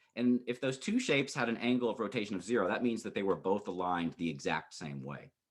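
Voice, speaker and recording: A man speaks at a medium pitch with vocal fry. His pitch swings very widely. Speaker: psychology professor. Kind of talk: lecture. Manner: halting, self-correcting.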